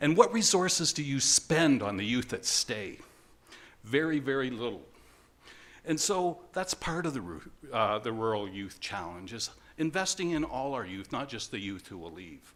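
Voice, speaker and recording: A man talks with vocal fry. His voice has very wide pitch swings and big swings in loudness. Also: medium pitch for a man. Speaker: conference presenter. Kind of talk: conference presentation. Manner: fast.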